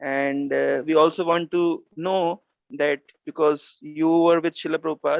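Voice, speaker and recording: With fairly even intonation, a man talks in a normal speaking voice. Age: young. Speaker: youth forum member. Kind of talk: formal request to speaker.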